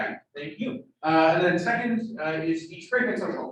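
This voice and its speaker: A man talks loudly at a moderate pace with ordinary pitch variation. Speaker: student club meeting leader. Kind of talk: club meeting announcements. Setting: room with hybrid Zoom audience. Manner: casual, filler-heavy.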